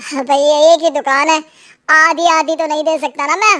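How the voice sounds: In a squeaky, cartoonish character voice, a woman talks at a fairly quick pace with high pitch and fairly even intonation.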